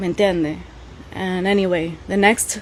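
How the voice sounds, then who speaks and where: A woman with a medium pitch is heard over noticeable background noise. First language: Spanish. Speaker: podcast host. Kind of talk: casual monologue. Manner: animated.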